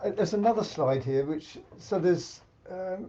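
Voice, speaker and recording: This man speaks at a moderate pace with an English accent. His voice is high-pitched, with a dark, mellow tone. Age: 70s. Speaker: senior badminton champion. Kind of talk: interview.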